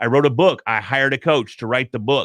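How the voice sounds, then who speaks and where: With lively intonation, a man speaks at a fairly quick pace. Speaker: podcaster and corporate trainer. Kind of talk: interview chat. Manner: loud.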